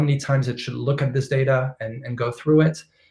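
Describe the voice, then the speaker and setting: Intonation stays fairly even in this somewhat breathy voice. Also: man. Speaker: machine learning expert speaker. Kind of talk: technical lecture with live demo. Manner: fast.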